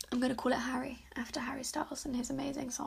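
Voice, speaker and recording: Speaking at a very fast pace, a woman with a British accent has a high-pitched voice. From UK. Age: 20s. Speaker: podcast host. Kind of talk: casual monologue. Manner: chatty, rambling with fillers.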